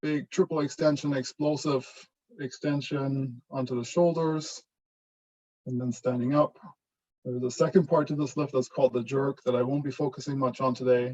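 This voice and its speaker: Fairly high-pitched man's voice, dark and mellow in tone, with fairly even intonation at a moderate pace. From Germany. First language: German. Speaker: professor. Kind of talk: lecture.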